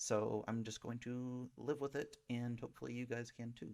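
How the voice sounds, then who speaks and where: Soft-spoken, a man talks at a medium pitch and a moderate pace. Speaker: gaming streamer. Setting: home desktop setup. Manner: hesitant, many fillers.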